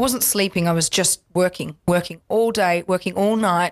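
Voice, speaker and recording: Over a quiet background, a woman talks at a fairly quick pace. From Perth, Western Australia; Western Australia. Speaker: accordionist and musician; guest. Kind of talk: interview. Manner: animated. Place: studio. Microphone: studio mic.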